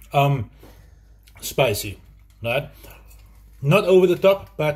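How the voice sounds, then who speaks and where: The background is quiet. A somewhat breathy male voice is heard. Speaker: food reviewer. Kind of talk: casual food review chat. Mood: enthusiastic. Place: kitchen. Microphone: phone near.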